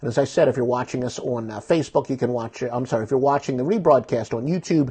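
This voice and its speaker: This man talks at a very fast pace and a medium pitch. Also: ordinary pitch variation. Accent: American. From Philadelphia suburbs, US. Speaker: sports betting show host. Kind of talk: sports news rundown. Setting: live video stream. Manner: casual, with fillers.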